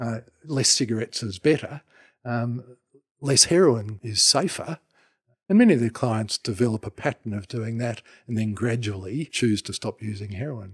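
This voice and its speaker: A man with an Australian accent, somewhat breathy, at medium pitch with ordinary pitch variation and a moderate pace, in a dry, close sound with no echo on a very clean recording with a silent background. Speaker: retired anaesthetist doctor. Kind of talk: interview answers, explanatory.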